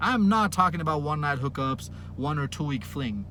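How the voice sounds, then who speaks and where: Audible room echo surrounds a man speaking at a moderate pace with a fairly high pitch. His voice has vocal fry and very wide pitch swings. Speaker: dating coach vlogger. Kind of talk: monologue rant to camera. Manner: energetic, yelling at times.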